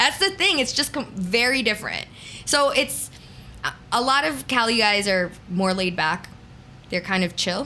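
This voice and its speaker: A woman with a fairly high pitch talks at a moderate pace in an animated tone and lively intonation, leaving long, frequent pauses. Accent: New York. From New York. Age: 40s. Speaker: radio DJ. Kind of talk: casual interview chat.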